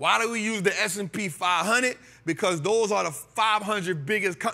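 Projecting his raised voice, a man speaks at a fairly slow pace in a bright, sharp tone with ordinary pitch variation. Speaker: stock market educator. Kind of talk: lecture. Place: studio. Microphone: lapel.

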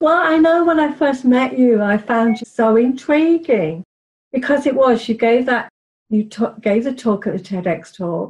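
Speaking at a fairly slow pace with an English accent, a woman uses a high pitch and lively intonation. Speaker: podcast host. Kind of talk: casual interview.

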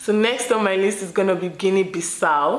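Here a woman is speaking. Audible room echo is present. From Nigeria. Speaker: YouTuber; travel vlogger. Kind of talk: casual vlog talk to camera. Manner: chatty, with laughs and fillers.

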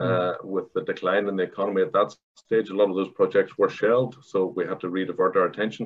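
Very fast and in a Northern Irish accent, a man speaks. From Northern Ireland. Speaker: construction company director; guest. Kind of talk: panel discussion. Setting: video call. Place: office. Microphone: video call.

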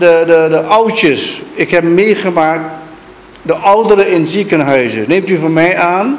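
A man speaks at a very slow pace in a high voice for a man. His intonation is lively, with light background noise. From Suriname. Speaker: surgeon and donor. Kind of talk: speech at a donation ceremony. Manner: halting. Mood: earnest, ashamed, emotional. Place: hall. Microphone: handheld.

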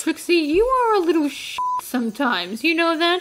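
Speaking at a moderate pace, a woman puts on a character voice pitched extremely high. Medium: dub. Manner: exasperated, sarcastic.

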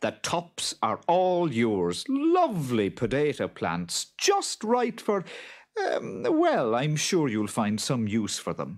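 A man puts on a character voice at medium pitch, speaking slowly with very wide pitch swings on a very clean recording with a silent background.

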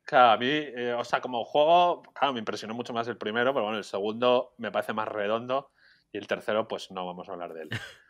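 Over music in the background, a man talks at a very fast pace at medium pitch, with ordinary pitch variation. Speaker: video game journalist. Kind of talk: casual chat.

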